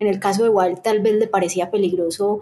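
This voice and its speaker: At a moderate pace, a woman with a fairly high voice and a dark, mellow tone speaks with fairly even intonation. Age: 30s. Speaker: film director. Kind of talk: casual chat.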